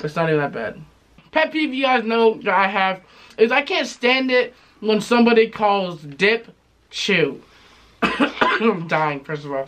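With a high pitch and a bright, sharp tone, a man speaks at a fairly slow pace. His pitch swings very widely, broken by long, frequent pauses. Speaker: tobacco review youtuber. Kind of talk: casual review chat.

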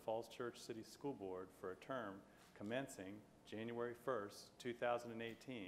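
The intonation stays fairly even over light background noise. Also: man. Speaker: official administering oath. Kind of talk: formal oath reading. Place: hall. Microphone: camera far.

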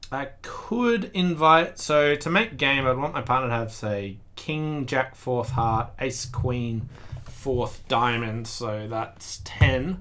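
Pitch varying in an ordinary way, a man talks very slowly. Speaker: bridge player commentator. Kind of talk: commentary. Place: home room.

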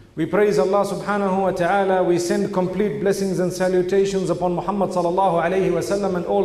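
At a very fast pace, a man with a high pitch speaks in a monotone, flat intonation, and audible room echo surrounds him. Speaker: speaker. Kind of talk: sermon. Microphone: podium.

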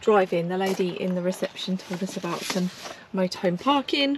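A woman speaks at a moderate pace with ordinary pitch variation, in a dry sound with no echo over noticeable background noise. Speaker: travel vlogger. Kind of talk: casual vlog chat. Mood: cheerful, light laughs. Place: open country. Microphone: phone near.

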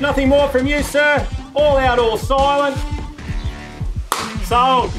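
Clear music plays behind a man who speaks at a very slow pace with an extremely high pitch, fairly even intonation, and long, frequent pauses. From Australia. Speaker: real estate agent and auctioneer. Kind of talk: auction call. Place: garden. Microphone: camera far.

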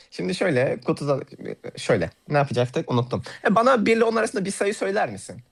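A man with a high pitch, very wide pitch swings and a fairly quick pace. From Turkey, Hatay. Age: 20s. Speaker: card magician. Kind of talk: live magic demonstration. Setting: voice call on a livestream.

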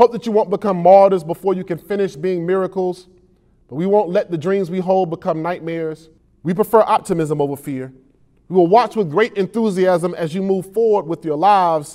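A man's high-pitched voice with a dark, mellow tone, at a fairly quick pace, ordinary pitch variation, and a quiet background. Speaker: poet. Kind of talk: spoken word poetry performance. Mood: earnest, emotional, uplifting. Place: studio. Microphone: lapel.

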